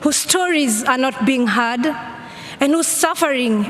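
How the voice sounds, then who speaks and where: A woman speaks in a high voice with ordinary pitch variation, over noticeable background noise. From Kenya. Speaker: climate activist. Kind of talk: speech at a conference. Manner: earnest, pleading.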